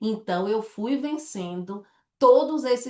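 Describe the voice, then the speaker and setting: A woman with a Bahian accent speaks very slowly, her intonation lively. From Salvador, Bahia, Brazil. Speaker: direct sales director. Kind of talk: sales presentation. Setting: online presentation with slides and chat.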